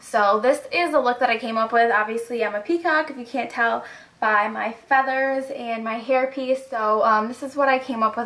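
A woman with a high voice speaks at a moderate pace, her intonation fairly even and her delivery almost free of pauses. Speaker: beauty vlogger. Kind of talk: casual talk to camera. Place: home room. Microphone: camera far.

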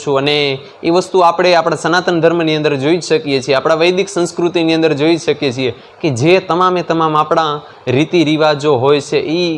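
Noticeable background noise runs behind a man with a fairly high pitch. His intonation is fairly even and his loudness very even. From Kutch, Gujarat (Mandvi taluka). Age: 20s. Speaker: young religious storyteller (kathakar). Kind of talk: interview.

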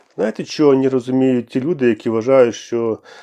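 A man speaks at medium pitch with a dark, mellow tone. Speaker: political candidate. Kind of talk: political monologue.

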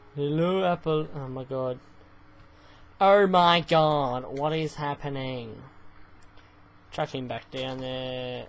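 With long, frequent pauses and big swings in loudness, a man speaks very slowly at a fairly high pitch with ordinary pitch variation. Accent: Australian. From Australia. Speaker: gaming YouTuber. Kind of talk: let's play commentary. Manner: animated. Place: home room.

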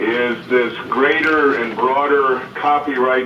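A man speaks over light background noise. The room echo is audible. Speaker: lawyer advocate for blind people. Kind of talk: meeting statement. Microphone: phone line.

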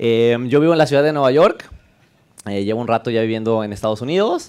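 Speaking at a very fast pace, a man uses a medium pitch with ordinary pitch variation against a quiet background. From Mexico, León; Mexico. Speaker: developer advocate; conference speaker. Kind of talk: conference talk. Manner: casual, joking. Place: classroom. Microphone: headset.

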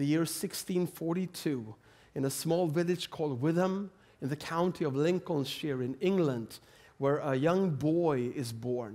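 A man with a Swedish accent, fairly high pitch, lively intonation and a fairly slow pace. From Sweden. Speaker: preacher. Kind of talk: sermon. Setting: church. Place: church. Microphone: headset.

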